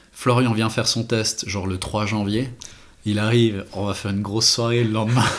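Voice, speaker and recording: A man speaks at a moderate pace and a medium pitch, with monotone, flat intonation. Noticeable background noise runs under his voice. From French-speaking Switzerland, Renens near Lausanne. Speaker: watchmaker and brand co-founder. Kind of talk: casual interview.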